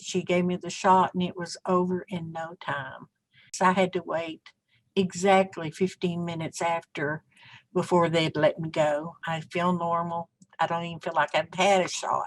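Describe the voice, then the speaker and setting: A woman's fairly low voice with an American accent, flat and monotone at a moderate pace, in a dry, close recording with no echo and a quiet background. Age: 60s. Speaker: healthcare worker. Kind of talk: interview. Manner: halting.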